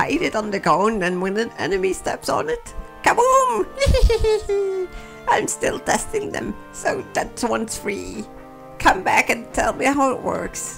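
Clear music plays behind a put-on character voice. The delivery moves at a fairly slow pace. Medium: role play.

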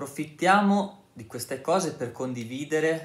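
The man's pitch moves by an ordinary amount, and room echo can be heard around his voice. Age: 30s. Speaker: YouTuber, ex-Jehovah's Witness; vlogger. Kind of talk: casual vlog monologue. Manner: halting. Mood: earnest, calm, persuasive. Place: home room. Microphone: phone near.

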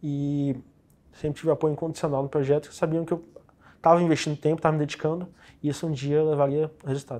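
In a dark, mellow tone, the voice runs at a very fast pace with monotone, flat intonation. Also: man. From Brazil, Federal District (Ceilândia). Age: 20s. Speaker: top-ranked civil service exam candidate, physiotherapist. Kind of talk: interview. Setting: studio. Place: studio.

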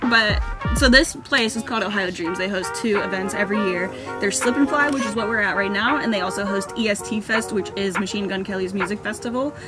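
Clear music plays in the background. A woman speaks with ordinary pitch variation. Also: fairly quick pace. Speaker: vlogger. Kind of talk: casual vlog chat. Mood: cheerful, excited. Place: car. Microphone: phone near.

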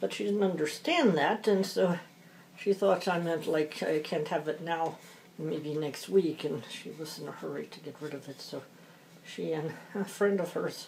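A woman with a fairly low pitch talks at a moderate pace, showing ordinary pitch variation and big swings in loudness, with light background noise behind her. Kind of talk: casual craft chat while working. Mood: amused, chatty. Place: home room. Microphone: phone near.

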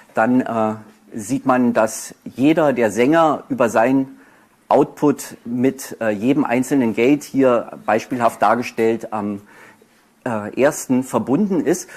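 A man talks very slowly, his pitch varying in an ordinary way. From Berlin, Germany. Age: 40s. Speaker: author and poetry slammer; speaker. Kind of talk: lecture. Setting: university lecture hall with audience. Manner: halting, many fillers. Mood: self-deprecating, slightly nervous. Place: hall.

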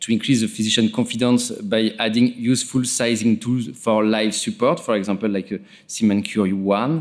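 A man speaks with a French accent and fairly even intonation. The background is quiet. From France. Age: 40s. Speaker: interventional neuroradiologist. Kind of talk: conference presentation. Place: hall.

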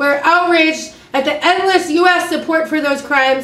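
A woman at high pitch and moderate pace, with ordinary pitch variation, a fairly bright tone and audible room echo.

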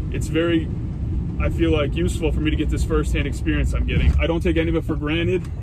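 Loud background noise surrounds a man speaking with ordinary pitch variation in a dry sound with no echo. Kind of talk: casual vlog chat. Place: car. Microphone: phone near.

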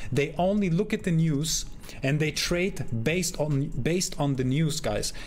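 With ordinary pitch variation, the man talks at a moderate pace. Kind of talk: commentary. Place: home room.

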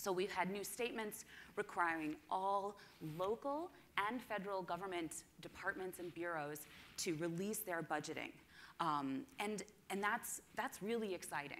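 With light noise behind her, a woman speaks at a moderate pace with lively intonation. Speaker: conference presenter. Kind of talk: presentation talk. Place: hall.

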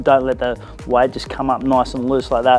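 Faint music sits in the background. Over it, a man talks at a fairly quick pace. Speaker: fitness instructor. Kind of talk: tutorial. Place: gym.

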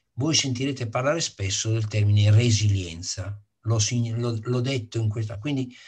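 Against a quiet background, a man speaks somewhat breathily at a moderate pace and medium pitch, with ordinary pitch variation. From northern Italy. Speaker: sustainability advocate; course lecturer or speaker. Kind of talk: lecture. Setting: video call. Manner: emphatic. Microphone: video call.

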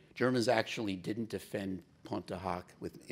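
Over light background noise, a man's pitch varies in an ordinary way as he speaks at a moderate pace. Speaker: business executive and navy veteran. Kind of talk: keynote speech. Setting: stage with audience. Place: stage. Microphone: podium.

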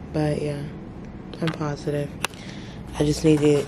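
A woman with a very deep, low pitch, audible room echo and noticeable background noise. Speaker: medical student vlogger. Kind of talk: casual vlog. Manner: quiet, trying not to wake roommate.

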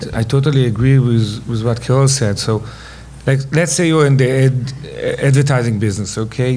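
Male speaker with an Israeli accent, medium pitch and fairly even intonation, over light background noise. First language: Hebrew. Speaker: venture investor; panelist. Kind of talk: panel discussion. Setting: stage with audience. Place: hall. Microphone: podium.

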